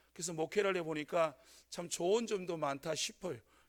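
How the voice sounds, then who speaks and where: In a strong Gyeongsang accent, a man speaks at a moderate pace and high pitch with ordinary pitch variation. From North Gyeongsang, Korea (Sangju). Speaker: pastor. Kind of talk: sermon. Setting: church. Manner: hesitant, many fillers.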